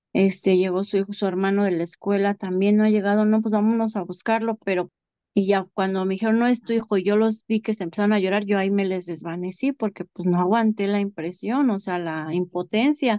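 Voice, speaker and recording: At a fairly quick pace and with hardly any pauses, a woman talks in a dark, mellow tone with fairly even intonation, the sound dry and close with no echo. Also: medium pitch for a woman, quiet background. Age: 40s. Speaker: bereaved mother. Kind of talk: testimony.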